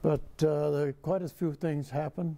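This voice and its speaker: The man's tone is dark and mellow. He talks at a fairly slow pace with monotone, flat intonation. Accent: Midwestern US. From rural Illinois. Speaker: war veteran. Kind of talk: oral history interview. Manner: halting. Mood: calm, reflective, wry. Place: studio. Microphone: lapel.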